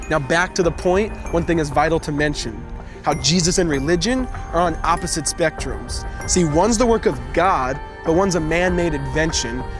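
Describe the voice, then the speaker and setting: Over music in the background, a man speaks at a moderate pace with very even loudness. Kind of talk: spoken word poetry. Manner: rhythmic, rhyming delivery.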